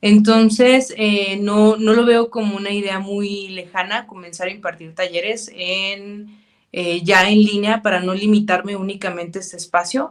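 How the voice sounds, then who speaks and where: A woman with a Mexican accent at a fairly slow pace, hardly any pauses, fairly even intonation and big swings in loudness. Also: medium pitch for a woman. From Mexico, Zacatecas. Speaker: clinical psychologist. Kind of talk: interview.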